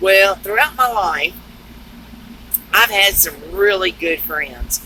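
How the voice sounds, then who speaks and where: A woman with a Southern US accent speaks at a very slow pace. Noticeable background noise is present. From US South (Texas and Georgia). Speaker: truck driver and storyteller. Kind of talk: casual storytelling vlog.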